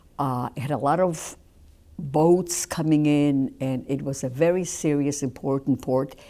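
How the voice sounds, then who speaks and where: Recorded very cleanly over a silent background, a woman speaks with a very deep, low pitch and a dark, mellow tone. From Poland. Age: 70s. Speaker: Holocaust survivor. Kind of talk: testimony. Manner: halting.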